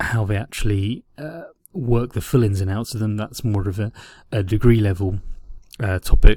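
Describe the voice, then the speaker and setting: A man's fairly low-pitched voice, somewhat breathy with a dark, mellow tone, is heard on a very clean recording with a silent background. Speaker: teacher. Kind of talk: lecture. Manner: halting.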